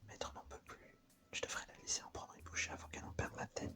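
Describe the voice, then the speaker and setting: A man whispers at a fairly quick pace while music plays in the background. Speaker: ASMR creator who reads visual novels aloud. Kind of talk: ASMR visual novel reading. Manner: whispered.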